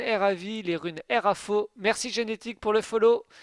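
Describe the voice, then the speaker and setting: A man's high voice, dry and close with no echo, on a very clean recording with a silent background. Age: 20s. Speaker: game streamer. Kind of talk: live stream commentary. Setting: live stream. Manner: casual, hesitant fillers.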